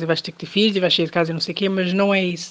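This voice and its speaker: A very fast woman's voice at a medium pitch. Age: young.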